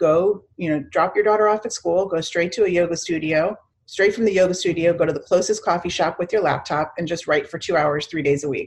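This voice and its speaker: A woman's plain, everyday voice, fairly low in pitch, at a fairly quick pace with hardly any pauses. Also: ordinary pitch variation. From Chicago suburbs and Miami. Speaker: PR agency founder. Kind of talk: interview.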